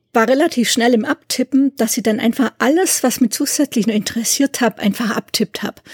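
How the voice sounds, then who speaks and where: In a normal speaking voice, a woman of fairly high pitch talks at a moderate pace with ordinary pitch variation and a dry, close sound with no echo. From Swabia, southern Germany (near Ulm). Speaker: musicologist and doctoral researcher. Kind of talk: interview.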